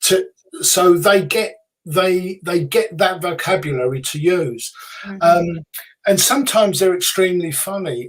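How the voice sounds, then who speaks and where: With a British accent, a man speaks in a high pitch. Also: ordinary pitch variation, moderate pace. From UK. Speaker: psychic medium, author, radio host. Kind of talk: interview answer.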